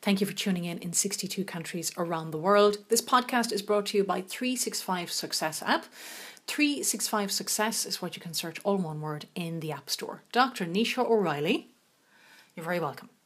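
The speaker is a woman with a medium pitch. She talks at a moderate pace with lively intonation. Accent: Irish. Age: 40s. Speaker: podcast host. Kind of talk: casual chat.

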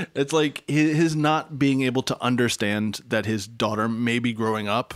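An ordinary speaking voice from a man at medium pitch, lively in intonation and moderate in pace, in a very clean recording with a silent background. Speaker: podcast host. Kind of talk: casual chat. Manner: joking, bantering.

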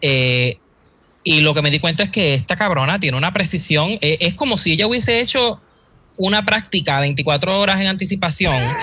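Lively intonation at a moderate pace, with very even loudness. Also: man, high pitch for a man. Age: 30s. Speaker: graphic designer. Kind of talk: casual chat.

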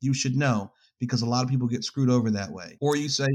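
In a normal speaking voice, a man with an American accent talks at a medium pitch and a fairly quick pace. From New York. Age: 30s. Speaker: filmmaker and photographer. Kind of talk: casual interview.

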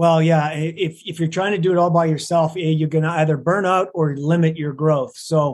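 This man has a Canadian accent and a normal speaking voice. His pitch is fairly high, and his intonation stays fairly even. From Alberta, Canada. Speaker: business consultant and coach. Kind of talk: interview.

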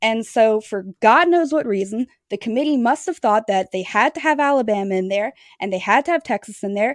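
A woman with an American accent uses an ordinary speaking voice at a fairly high pitch, with lively intonation and a fairly quick pace. The sound is dry and close with no echo, over a quiet background. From Louisiana, US South. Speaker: sports editor and former attorney. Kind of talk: casual chat.

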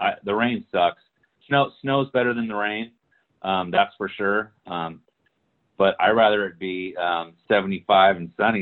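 Using a plain, everyday voice, a man speaks at a fairly slow pace. His pitch is fairly low, with ordinary pitch variation. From Hawaii and California. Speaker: former football player. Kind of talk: casual chat.

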